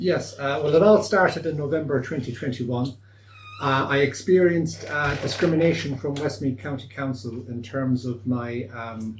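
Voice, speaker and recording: A man with a west of Ireland accent, against noticeable background noise. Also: medium pitch for a man, ordinary pitch variation, moderate pace. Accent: west of Ireland Irish. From Achill Island, Ireland. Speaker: citizen lawyer. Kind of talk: interview answer.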